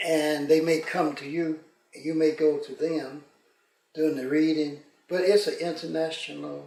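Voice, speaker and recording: A man with a fairly high pitch speaks at a fairly slow pace in a flat monotone, his loudness swinging widely. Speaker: retired pastor. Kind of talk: casual interview.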